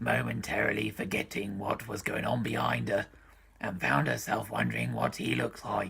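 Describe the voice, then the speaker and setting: A raspy, put-on character voice moves at a moderate pace with very wide pitch swings. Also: man. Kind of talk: comedic book reading.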